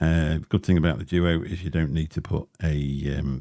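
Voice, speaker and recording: In a very clean recording with a silent background, a man speaks with a very deep, low pitch and a dark, mellow tone. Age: 50s. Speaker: vaping livestreamer. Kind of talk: casual livestream chat. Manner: casual, rambling with fillers. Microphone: Shure SM7B dynamic mic, some crackling.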